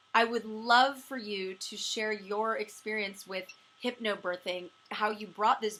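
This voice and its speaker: Medium-pitched woman at a moderate pace, her intonation fairly even. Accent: American. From California, Los Angeles. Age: 40s. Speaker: interview show host, comedian. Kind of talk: interview.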